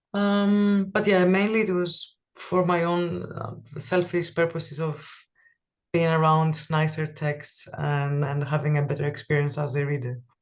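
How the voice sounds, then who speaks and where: Someone with a Greek accent speaks at a fairly slow pace against a quiet background. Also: woman, very deep, low pitch for a woman, ordinary pitch variation. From Greece. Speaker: type designer. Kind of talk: interview. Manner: halting, many fillers.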